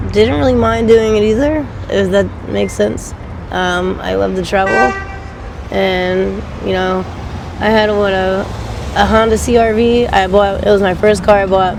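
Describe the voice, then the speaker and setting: A woman with an American accent speaks with long, frequent pauses, with audible room echo and noticeable background noise. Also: moderate pace. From Pennsylvania, Delaware County and western PA. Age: 20s. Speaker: interviewee. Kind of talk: street interview. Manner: casual, hesitant with many ums.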